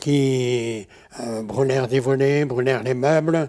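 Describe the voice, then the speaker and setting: A man speaks at a fairly slow pace with a medium pitch. His tone is dark and mellow, with ordinary pitch variation. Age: 80s+. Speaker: painter and sculptor, retired aviator. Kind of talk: interview. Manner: hesitant, with frequent pauses.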